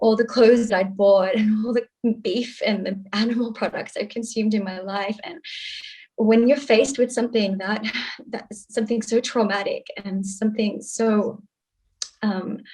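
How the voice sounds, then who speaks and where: At a moderate pace, a woman with an Australian accent talks at a fairly high pitch with fairly even intonation. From Australia, Sydney. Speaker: activist. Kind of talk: panel discussion.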